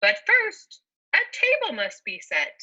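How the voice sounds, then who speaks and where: Putting on a squeaky character voice, a woman speaks fairly slowly at an extremely high pitch with very wide pitch swings. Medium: read story. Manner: coaxing, persuasive.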